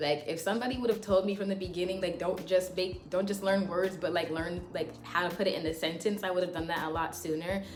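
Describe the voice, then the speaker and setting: A woman's very fast delivery with hardly any pauses and fairly even intonation, plus audible room echo and music in the background. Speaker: language learning YouTuber. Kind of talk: casual tutorial vlog. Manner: casual, many fillers.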